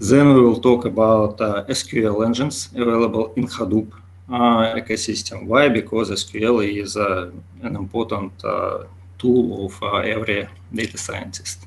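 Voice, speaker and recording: With a Russian accent, a man speaks at a medium pitch and with fairly even intonation. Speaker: conference speaker, big data developer. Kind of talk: lecture. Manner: slow; halting with many fillers.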